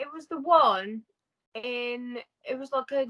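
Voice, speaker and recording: At a very slow pace, a woman speaks with a high pitch and a bright, sharp tone in a dry, close sound with no echo. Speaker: college student. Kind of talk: casual chat.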